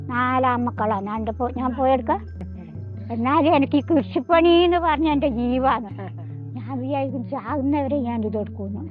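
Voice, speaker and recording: A woman speaks with audible room echo. Music plays in the background. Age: 80s+. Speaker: farmer. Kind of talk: interview.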